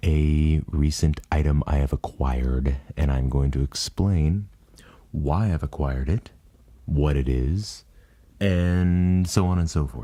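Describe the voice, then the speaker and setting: Soft-spoken and dark, mellow in tone, a man with a very deep, low pitch talks at a fairly slow pace with ordinary pitch variation. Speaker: ASMR creator. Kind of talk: ASMR soft-spoken unboxing narration.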